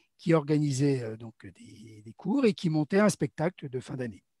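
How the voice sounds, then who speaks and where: A man speaks with a fairly high pitch, a dark, mellow tone and lively intonation, somewhat breathy, in a dry, close sound with no echo. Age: 60s. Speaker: amateur theatre actor. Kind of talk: interview about his theatre background. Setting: live online broadcast. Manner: hesitant, many fillers.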